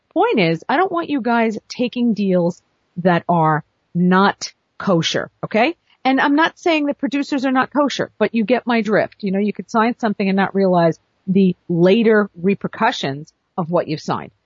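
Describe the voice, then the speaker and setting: A woman speaks at a medium pitch in an animated tone, somewhat breathy. Her pitch swings very widely. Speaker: literary agent and podcast host. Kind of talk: casual monologue. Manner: fast.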